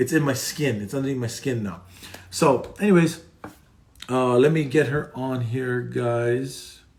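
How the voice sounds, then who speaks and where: A man speaks with a somewhat breathy voice in a medium pitch. His tone is animated and excited, with ordinary pitch variation. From Hawaii. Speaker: recovery podcast host. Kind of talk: casual live interview chat. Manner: animated, excited; halting with many fillers.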